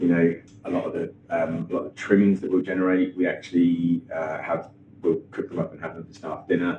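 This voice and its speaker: Fairly quick speech in a Norfolk accent with fairly even intonation, big swings in loudness and noticeable background noise. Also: man, very deep, low pitch for a man. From Norfolk, England. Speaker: chef and restaurant owner. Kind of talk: interview answer. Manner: hesitant, casual.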